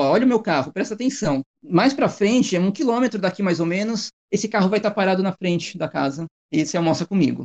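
A man with a high pitch speaks very fast, his pitch swinging very widely, in a dry, close sound with no echo. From Brazil, São Paulo city. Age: 40s. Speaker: bicycle traveler and former sailor. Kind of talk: casual interview.

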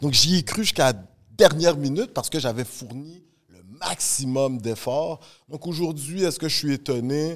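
A man's ordinary speaking voice, fairly high in pitch, at a moderate pace with ordinary pitch variation and big swings in loudness. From Montreal, Canada. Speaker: podcast host, teacher. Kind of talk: casual chat, interview.

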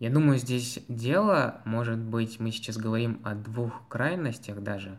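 A man of medium pitch talks at a fairly slow pace with hardly any pauses. His pitch varies in an ordinary way. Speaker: student podcast host. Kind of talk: casual chat.

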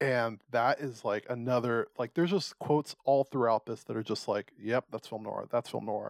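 A plain, everyday voice moves at a moderate pace with ordinary pitch variation and hardly any pauses, captured in a very clean, dry, close recording with no echo and a silent background. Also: man, medium pitch for a man. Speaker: podcast host. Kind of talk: casual chat.

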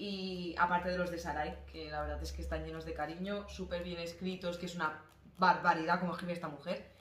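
Audible room echo surrounds a woman talking at a fairly quick pace. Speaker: podcast co-host. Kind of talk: casual chat. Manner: quiet.

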